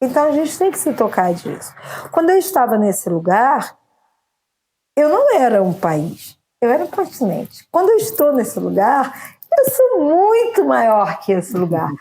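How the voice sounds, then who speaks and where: A high-pitched woman's voice, dark and mellow in tone, with very wide pitch swings. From Brazil, Campos (Rio de Janeiro state). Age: 50s. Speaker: poet, actress and singer. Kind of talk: interview.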